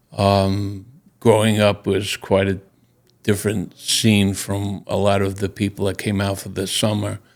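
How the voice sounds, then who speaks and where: A man with a Long Island accent, fairly low in pitch, fairly slow and monotone, in a very clean recording with a silent background. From Long Island, New York. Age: 80s+. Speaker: Vietnam War veteran. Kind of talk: interview. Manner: halting.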